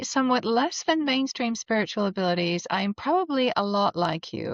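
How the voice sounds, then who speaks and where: In an American accent, a woman talks at a moderate pace with hardly any pauses, a fairly high pitch and very wide pitch swings. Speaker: spiritual coach and psychic medium. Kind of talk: personal introduction video.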